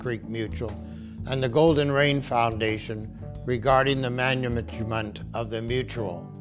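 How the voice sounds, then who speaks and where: Clear music plays in the background behind speech at a moderate pace. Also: man. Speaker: presenter. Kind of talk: documentary narration. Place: studio.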